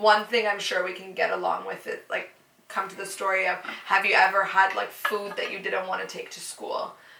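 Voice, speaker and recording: Noticeable background noise and audible room echo surround a woman with a Canadian accent who speaks at a moderate pace, her loudness swinging widely. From Canada. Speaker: podcast guest. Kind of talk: casual chat. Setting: sitting together in person.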